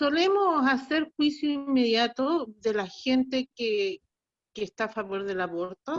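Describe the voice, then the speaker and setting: A woman's high voice at a very slow pace, with very wide pitch swings and a dry, close sound with no echo. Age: 60s. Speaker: student. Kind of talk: question from audience. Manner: halting.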